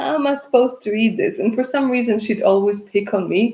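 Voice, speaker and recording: A woman speaks in a fairly high voice with a Russian accent. The background is quiet. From Russia, left at age eleven. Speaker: tarot reader. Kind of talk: live stream chat with viewers. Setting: live stream. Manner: casual, chatty.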